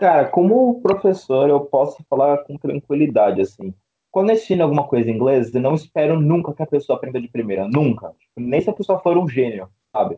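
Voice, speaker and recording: This man's fairly high voice moves through very wide pitch swings. He speaks at a fairly quick pace. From São Paulo, Brazil. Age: 20s. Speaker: English teacher and IT student. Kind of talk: casual interview. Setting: video call. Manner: halting.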